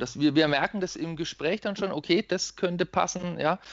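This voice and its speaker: Speaking at a fairly quick pace, a man uses a normal speaking voice. His pitch varies in an ordinary way. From Germany, Lower Franconia (Schweinfurt). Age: 30s. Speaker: occupational therapist. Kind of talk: podcast interview.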